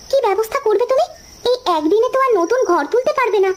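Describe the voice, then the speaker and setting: A woman puts on a squeaky, cartoonish character voice with an extremely high pitch, speaking fairly quickly at very even loudness. Light background noise is present. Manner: homely, emotional.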